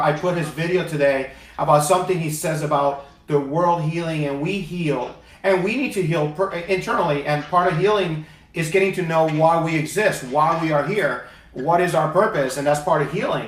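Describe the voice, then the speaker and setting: A man speaks at a moderate pace with a fairly high pitch and ordinary pitch variation. Noticeable background noise runs underneath. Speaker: talk show host, inspirational speaker. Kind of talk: talk show host interview.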